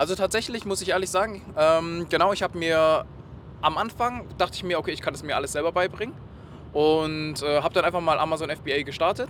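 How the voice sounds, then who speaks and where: Speaking with a high pitch and ordinary pitch variation, a man keeps a fairly quick pace. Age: 20s. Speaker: e-commerce project manager. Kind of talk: interview. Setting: in a car.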